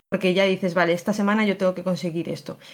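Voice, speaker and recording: A very clean recording holds a silent background. The voice belongs to a woman. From León, Spain. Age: 20s. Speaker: photographer. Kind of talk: interview.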